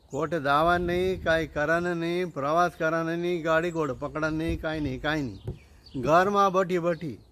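A man with a normal speaking voice talks at a fairly high pitch. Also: fairly even intonation. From Khandesh, Dhule district, Maharashtra, India. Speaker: event speaker promoting a conference. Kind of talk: promotional announcement.

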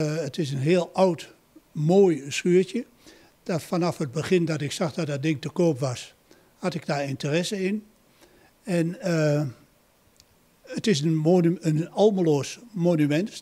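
Speaking very slowly with long, frequent pauses, a man uses a high voice with ordinary pitch variation. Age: 80s+. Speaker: retired building restorer. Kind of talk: interview answer. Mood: proud, warm. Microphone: handheld.

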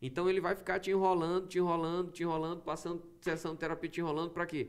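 Very fast, high-pitched male voice with fairly even intonation over a quiet background. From Brazil, Maranhão (São Luís); Maranhão, Brazil. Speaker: pastor podcast guest. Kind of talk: casual podcast conversation; podcast conversation, preaching style. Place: studio. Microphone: studio mic.

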